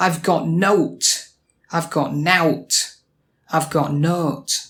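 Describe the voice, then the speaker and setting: A man is speaking. He has a Sheffield accent. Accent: Yorkshire (Sheffield) English. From Yorkshire, England. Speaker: ESL teacher. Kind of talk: English pronunciation lesson to camera.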